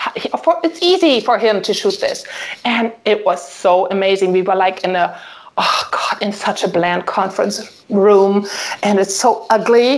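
Over noticeable background noise, a woman speaks at a medium pitch and a fairly slow pace with lively intonation. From Germany, Solingen area. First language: German. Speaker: family and wedding photographer. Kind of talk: casual interview. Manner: hesitant, many fillers.

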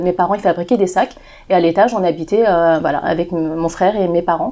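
Her tone dark and mellow, a woman talks fairly quickly at a medium pitch with fairly even intonation. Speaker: association founder. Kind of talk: casual chat. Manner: fast.

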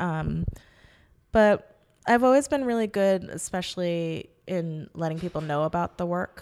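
This woman has an ordinary speaking voice, fairly low in pitch, with an American accent. She talks at a fairly slow pace with lively intonation. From New York City, Manhattan. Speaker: choreographer. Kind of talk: interview conversation.

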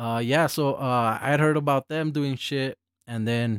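A man speaks at a medium pitch with ordinary pitch variation. The sound is dry and close, with no echo. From El Paso, Texas. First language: Spanish. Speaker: hip hop producer and engineer. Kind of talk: casual interview chat. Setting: recording studio.

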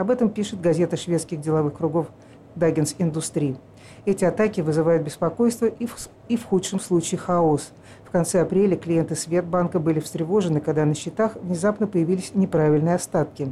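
With an ordinary speaking voice, a woman speaks at a fairly low pitch with ordinary pitch variation. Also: fairly quick pace. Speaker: press review presenter. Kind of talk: news reading.

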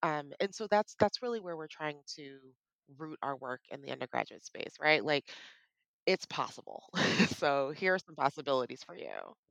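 A woman with a very deep, low pitch speaks at a moderate pace with lively intonation and big swings in loudness, in a dry, close sound with no echo. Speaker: nonprofit program leader. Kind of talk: interview. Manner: animated.

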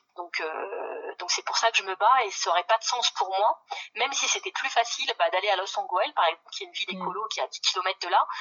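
With lively intonation and a fairly high pitch, a woman speaks at a fairly quick pace over noticeable background noise. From northern France, Pas-de-Calais. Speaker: ecologist activist and municipal candidate. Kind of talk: phone interview. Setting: phone call.

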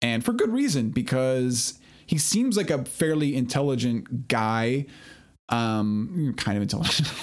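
This is a normal speaking voice from a man, pitched in the medium range. He talks at a fairly slow pace with lively intonation. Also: very even loudness. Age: 40s. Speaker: podcast host. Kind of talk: casual chat.

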